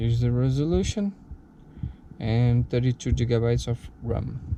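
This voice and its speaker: A man's dark, mellow, medium-pitched voice in a Brazilian Portuguese accent, at a fairly slow pace. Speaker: tech video creator. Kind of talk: product unboxing tutorial. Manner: halting, with fillers.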